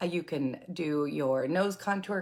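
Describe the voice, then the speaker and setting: A woman with a normal speaking voice talks at a fairly low pitch and a fairly slow pace. Her intonation is lively. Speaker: makeup product seller. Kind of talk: product tutorial livestream.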